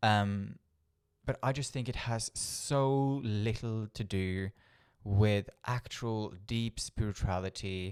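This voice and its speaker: A man speaks at a very slow pace with a Norwegian accent and fairly low pitch. The sound is dry and close with no echo, on a very clean recording with a silent background. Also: fairly even intonation. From Norway. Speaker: spiritual coach and healer. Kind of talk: talking-head video monologue. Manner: occasional stumbles and fillers.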